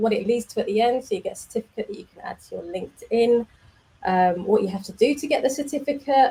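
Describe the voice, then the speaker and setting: Lively intonation and a dark, mellow tone with an English accent. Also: woman. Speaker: developer community manager, stream host. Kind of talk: casual live stream. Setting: live video stream.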